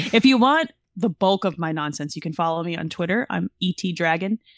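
This woman has a fairly low pitch and lively intonation. She talks at a fairly quick pace. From US, Italian-American. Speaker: podcast co-host of a gaming show. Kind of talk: casual podcast interview. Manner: loud, animated.

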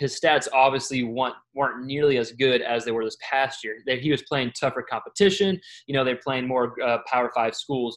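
An ordinary speaking voice with an American accent moves at a moderate pace, with fairly even intonation and hardly any pauses. The recording is very clean, with a silent background. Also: man, medium pitch for a man. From Texas.

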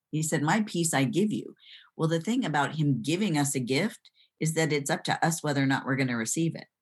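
Here a woman with an American accent has a very deep, low pitch. She talks at a fairly quick pace with lively intonation. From Michigan, US Midwest. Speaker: neuropsychologist and author. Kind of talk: podcast interview.

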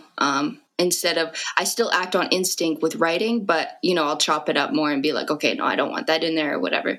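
Against noticeable background noise, a woman with a fairly low pitch talks at a fairly quick pace with very even loudness, ordinary pitch variation and hardly any pauses. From Canada, Fort McMurray, Alberta. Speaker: rapper. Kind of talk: interview.

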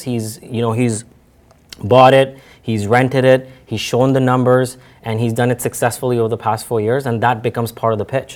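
A man's ordinary speaking voice, medium in pitch and fairly quick, with fairly even intonation on a very clean recording with a silent background. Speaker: real estate agent. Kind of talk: interview.

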